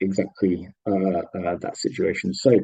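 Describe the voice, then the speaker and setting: Dark and mellow, the man's tone stands out. His pitch moves in an ordinary way. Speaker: economics teacher. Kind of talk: lecture.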